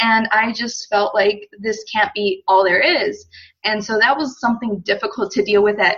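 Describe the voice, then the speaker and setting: A woman speaks with ordinary pitch variation. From United States. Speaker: female empowerment coach. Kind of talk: podcast interview. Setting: call.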